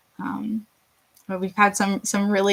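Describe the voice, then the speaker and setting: Her intonation is monotone and flat, at a medium pitch. The woman speaks with an American accent. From Rochester, New York. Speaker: dietitian giving a community nutrition talk. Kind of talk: online presentation.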